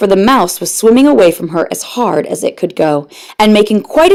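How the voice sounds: Intonation here is lively. The text comes in a natural reading voice.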